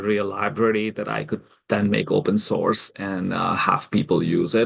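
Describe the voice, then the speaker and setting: Vocal fry runs through this man's fairly low-pitched voice. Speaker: astrology enthusiast and coder. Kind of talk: tutorial. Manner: fast; halting, many fillers.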